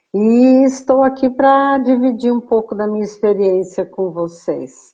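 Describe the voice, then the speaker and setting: This woman has a high pitch and a dark, mellow tone, speaking at a fairly slow pace with ordinary pitch variation. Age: 70s. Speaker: clinician and educator, guest speaker. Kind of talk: live stream interview.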